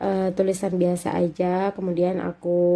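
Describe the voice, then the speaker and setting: A woman's voice with a dark, mellow tone. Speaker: homemaker vlogger. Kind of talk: tutorial. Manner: casual, chatty.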